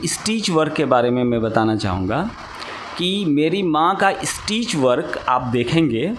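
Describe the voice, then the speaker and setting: Very wide pitch swings stand out over noticeable background noise. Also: man. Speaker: sitar teacher. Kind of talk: interview answer.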